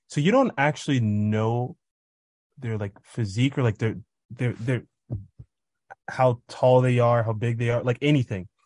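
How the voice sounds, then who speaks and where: Dry and close with no echo, a man with an American accent speaks at medium pitch in a somewhat breathy voice, keeping fairly even intonation at a moderate pace with long, frequent pauses. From Kansas City, US Midwest. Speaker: college student. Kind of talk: interview.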